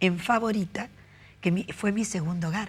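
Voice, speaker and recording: A woman's medium-pitched speech carries ordinary pitch variation. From Argentina, Rosario. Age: 60s. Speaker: interviewee sharing life story. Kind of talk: interview.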